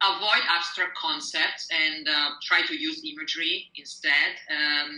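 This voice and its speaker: A woman speaks in an Italian accent at a fairly slow pace, with hardly any pauses. Her pitch is fairly low, with ordinary variation. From Italy. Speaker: poet. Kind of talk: interview. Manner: hesitant, with fillers.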